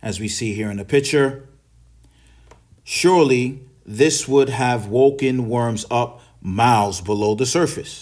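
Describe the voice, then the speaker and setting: A voice with a New York accent speaks at a fairly slow pace, with ordinary pitch variation. Long pauses come often. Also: man, medium pitch for a man. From New York City. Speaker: English teacher. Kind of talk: English lesson reading and explaining newspaper articles.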